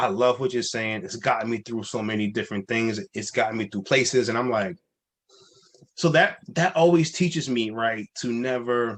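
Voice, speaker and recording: Ordinary pitch variation and a moderate tempo in an unremarkable speaking voice. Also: man, medium pitch for a man. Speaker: life coach and speaker. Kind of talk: interview answer.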